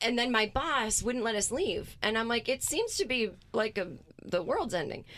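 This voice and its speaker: A woman with an American accent and a plain, everyday voice, fairly high in pitch, at a moderate pace, with lively intonation and very even loudness. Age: 40s. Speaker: comedian. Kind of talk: casual chat.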